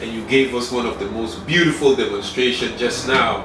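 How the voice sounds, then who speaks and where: A man with a medium-pitched voice and ordinary pitch variation talks while noticeable background noise plays. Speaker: interview show host. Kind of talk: talk show interview questions.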